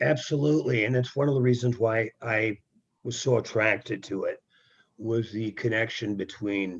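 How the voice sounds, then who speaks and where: The speaker talks at a fairly slow pace with an American accent, sounding somewhat breathy. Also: man. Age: 60s. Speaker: folk singer-songwriter. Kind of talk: interview.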